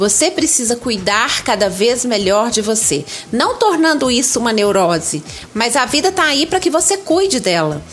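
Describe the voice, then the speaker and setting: A woman with a Minas Gerais accent talks at a moderate pace and high pitch, with very wide pitch swings, very even loudness, and noticeable background noise. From Brazil, Minas Gerais. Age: 50s. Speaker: writer and content creator. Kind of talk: interview.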